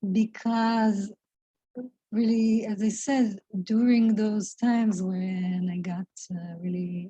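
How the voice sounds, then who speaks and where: A woman with a non-native accent, fairly high in pitch, dark and mellow in tone, somewhat breathy, with fairly even intonation at a very slow pace. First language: not English. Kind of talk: spiritual reflection talk to camera. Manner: slow, hesitant, thoughtful.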